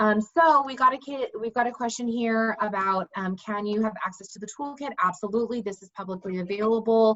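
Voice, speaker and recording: Hardly any pauses break up a woman's speech, which moves at a fairly quick pace with ordinary pitch variation. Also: fairly high pitch for a woman. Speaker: lawyer and education program director. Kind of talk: online presentation with Q&A. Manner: fast; frequent fillers (um).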